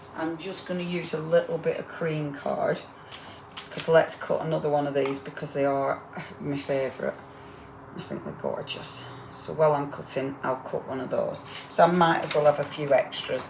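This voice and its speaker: Over noticeable background noise, a woman with a northern English accent talks at a moderate pace, her loudness swinging widely. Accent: northern English, getting stronger. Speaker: crafting demonstrator. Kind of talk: live crafting demo. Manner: chatty, rambling.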